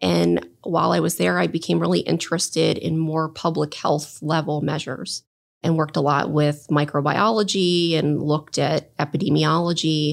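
In an American accent, a woman with a very deep, low pitch and vocal fry speaks at a moderate pace with lively intonation, hardly any pauses and very even loudness, on a very clean recording with a silent background. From southern New Jersey, near Philadelphia. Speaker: oncologist and cancer researcher. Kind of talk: interview.

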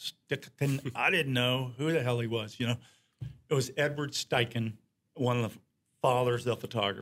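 At a moderate pace, a man with an ordinary speaking voice and a medium pitch keeps a fairly even intonation. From Norfolk, Virginia. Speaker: photographer. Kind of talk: casual interview chat.

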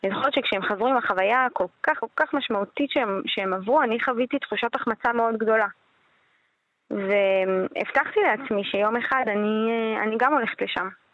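This woman has an unremarkable speaking voice, fairly high in pitch with ordinary pitch variation. She keeps a moderate pace and very even loudness. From Israel. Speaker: filmmaker and entrepreneur. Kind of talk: radio interview.

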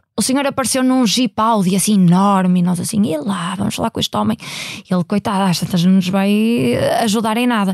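In a normal speaking voice, a woman talks at a medium pitch with ordinary pitch variation and a fairly quick pace. The sound is dry and close, with no echo. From Portugal, Maia (Porto area). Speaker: company CEO. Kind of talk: interview. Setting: studio.

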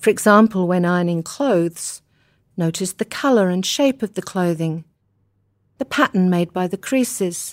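A woman's gentle, calm voice with an Australian accent, medium pitch and ordinary pitch variation, dry and close with no echo, in a very clean recording with a silent background. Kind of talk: guided meditation. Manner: slow, calm, soothing, measured, with pauses; gentle, instructional.

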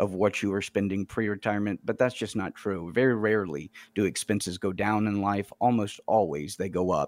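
A man with an American accent speaks in an ordinary speaking voice, his pitch fairly low and his intonation fairly even. The pace is fairly quick, and the sound is dry and close with no echo. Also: very clean recording, silent background. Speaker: financial advisor. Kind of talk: financial advice radio discussion. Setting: studio.

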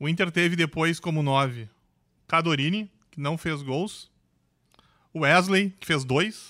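The delivery is fairly slow with long, frequent pauses and a bright, sharp tone, in a very clean recording with a silent background. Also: man, fairly high pitch for a man, ordinary pitch variation, big swings in loudness. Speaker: sports reporter. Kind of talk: football podcast discussion.

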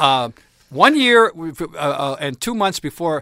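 Recorded with a dry, close sound and no echo, a man with an American accent talks at a moderate pace with ordinary pitch variation. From New Jersey. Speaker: sportswriter. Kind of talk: interview. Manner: halting, many repetitions and fillers.

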